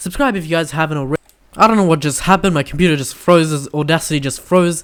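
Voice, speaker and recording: Speaking at a very fast pace, a man uses a fairly high pitch with ordinary pitch variation. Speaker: gaming YouTuber. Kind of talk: solo video commentary. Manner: halting, many fillers and restarts.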